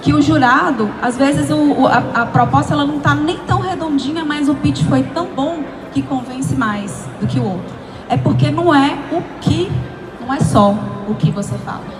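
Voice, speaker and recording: Speaking at a fairly slow pace and medium pitch, a woman sounds animated, her pitch swinging very widely, with audible room echo and music in the background. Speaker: pitch coach and speaker. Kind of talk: workshop talk. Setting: event stage with audience, handheld mic.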